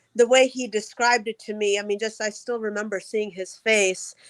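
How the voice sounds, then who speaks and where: Bright, sharp female voice with a fairly high pitch and an American accent, on a very clean recording with a silent background. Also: dry, close sound with no echo. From US Midwest. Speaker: chiropractor. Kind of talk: casual interview chat.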